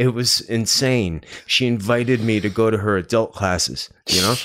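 At medium pitch and a moderate pace, a man with a normal speaking voice talks in an American accent with ordinary pitch variation. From New Jersey. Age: 50s. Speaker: painter and actor. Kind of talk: casual chat.

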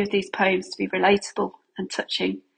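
A woman with a British accent speaks at a fairly quick pace against a quiet background. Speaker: poet and mother of a child with rare disease. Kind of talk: reading poetry aloud.

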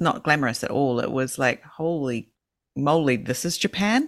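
A woman with a New Zealand accent speaks at a moderate pace in a very deep, low pitch. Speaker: podcast co-host. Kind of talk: casual chat. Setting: remote call.

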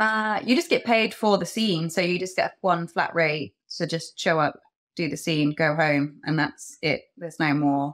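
On a very clean recording with a silent background, a woman with an English accent speaks at a fairly slow pace in a fairly low pitch. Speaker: adult content creator. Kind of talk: casual chat. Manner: giggly.

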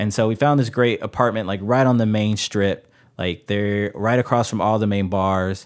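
This is a man with an unremarkable speaking voice, pitched fairly low. He keeps a moderate pace and fairly even intonation in a very clean recording with a silent background. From US Midwest, Chicago. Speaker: podcast guest sharing personal stories. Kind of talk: casual conversation, personal storytelling. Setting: in-person studio recording, same room.

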